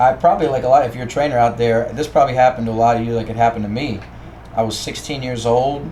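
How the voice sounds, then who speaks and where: A man's medium-pitched voice with an American accent, a very fast pace, fairly even intonation and noticeable background noise. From Baltimore, Maryland. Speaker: strength coach. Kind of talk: podcast interview.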